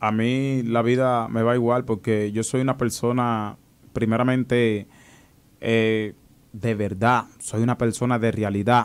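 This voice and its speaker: Monotone and flat in intonation, a man talks at a fairly slow pace. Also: medium pitch for a man, very even loudness. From Dominican Republic, Higüey (La Altagracia); Dominican Republic. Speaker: viral internet personality and political fan; interview guest. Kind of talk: casual interview. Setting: radio and TV studio. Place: studio. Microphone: studio mic.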